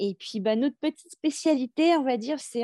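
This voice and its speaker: A woman's dark, mellow tone at a fairly quick pace with ordinary pitch variation, dry and close with no echo on a very clean recording with a silent background. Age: 40s. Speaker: new mother, sales manager. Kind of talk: interview testimony.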